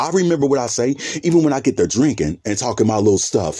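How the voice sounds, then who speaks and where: A man's dark, mellow tone with lively intonation. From US Midwest, Cincinnati, Ohio. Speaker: vlogger. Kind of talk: casual monologue vlog. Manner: halting, stumbling over words.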